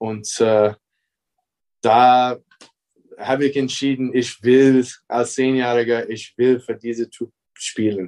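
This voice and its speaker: In an American accent, a man at medium pitch talks very slowly in a monotone, flat intonation with long, frequent pauses, and the sound is dry and close with no echo. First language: English (speaking German). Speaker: basketball coach. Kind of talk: interview.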